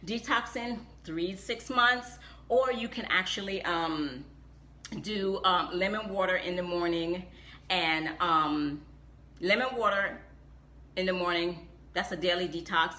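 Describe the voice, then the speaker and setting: A woman with a fairly low pitch talks at a fairly slow pace, leaving long, frequent pauses, with audible room echo around her. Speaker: health and wellness vlogger. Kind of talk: live stream talk. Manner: animated.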